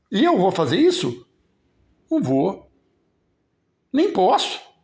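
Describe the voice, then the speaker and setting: With very wide pitch swings, a man speaks very slowly in a high voice. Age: 70s. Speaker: local political commentator. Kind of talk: live stream commentary. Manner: casual, conversational.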